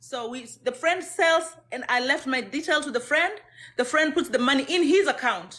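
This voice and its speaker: Recorded very cleanly against a silent background, a woman with a Kenyan accent speaks at a high pitch in a bright, sharp tone with lively intonation. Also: moderate pace. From Kenya, Maragoli from Kakamega area. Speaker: domestic violence survivor. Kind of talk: testimony.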